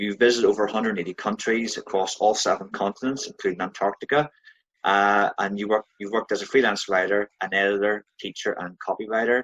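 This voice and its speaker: With a Northern Irish accent, a man speaks very fast at a fairly low pitch with fairly even intonation. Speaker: podcast host. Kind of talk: interview question.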